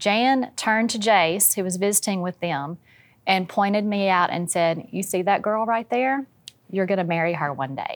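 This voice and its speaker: In a very clean recording with a silent background, a woman of medium pitch with a Louisiana accent speaks at a moderate pace with ordinary pitch variation. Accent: US Southern (Louisiana). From Louisiana, West Monroe. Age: 50s. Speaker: family member of a reality TV family. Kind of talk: casual chat.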